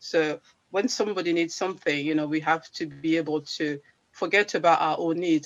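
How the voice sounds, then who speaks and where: At a moderate pace, a woman talks with fairly even intonation and a very deep, low pitch. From Congo (Central Africa). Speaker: charity founder and language teacher. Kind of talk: interview. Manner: halting, many repetitions.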